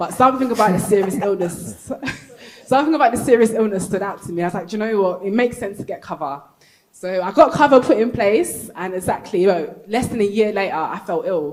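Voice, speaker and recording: A woman with a London accent talks very fast at medium pitch, her intonation lively. Her loudness swings a lot, and background noise is noticeable. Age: 30s. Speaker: panel speaker sharing personal story. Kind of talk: live panel testimony. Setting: stage with audience at convention.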